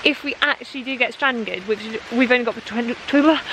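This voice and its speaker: With noticeable background noise behind her, a woman speaks at a very fast pace in a British accent. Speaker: travel vlogger. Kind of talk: travel vlog. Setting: outdoors in jungle.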